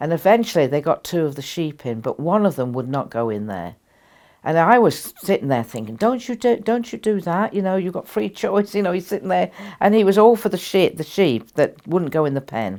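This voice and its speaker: A woman's fairly low, dark, mellow voice with vocal fry, a fairly quick pace, and very wide pitch swings, in a very clean recording with a silent background. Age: 80s+. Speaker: spiritual teacher. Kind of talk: interview storytelling. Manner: halting.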